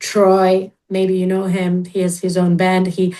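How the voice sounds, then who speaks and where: A woman's medium-pitched, dark and mellow voice, very slow and monotone with flat intonation. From Georgia, former USSR. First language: Russian or Georgian. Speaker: musician. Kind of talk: casual interview chat.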